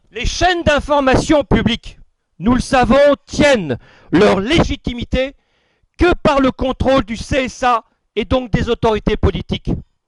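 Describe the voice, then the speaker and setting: A man's extremely high-pitched voice with ordinary pitch variation. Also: fairly slow pace, dry, close sound with no echo. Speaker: political association organizer. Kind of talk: speech at a political dinner. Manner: formal.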